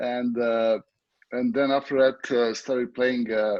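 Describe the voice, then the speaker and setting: With a Serbian accent, a man speaks at a medium pitch. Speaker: water polo coach. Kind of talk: interview. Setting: video call. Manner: halting.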